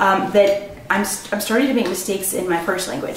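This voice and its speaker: A woman with an American accent is heard over noticeable background noise, with audible room echo. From US Midwest, Missouri. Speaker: vlogger, linguist. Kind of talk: casual monologue vlog. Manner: hesitant, many fillers.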